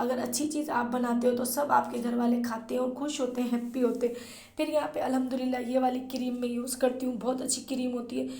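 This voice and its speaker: Flat, monotone delivery at a moderate pace, with audible room echo and noticeable background noise. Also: woman, high pitch for a woman. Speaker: vlogger. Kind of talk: vlog narration.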